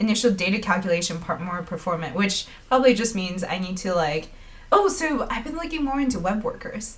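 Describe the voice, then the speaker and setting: A woman talks at a fairly quick pace. Her voice sits at a medium pitch. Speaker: live-streaming developer. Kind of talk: live coding stream. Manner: casual, thinking aloud with fillers.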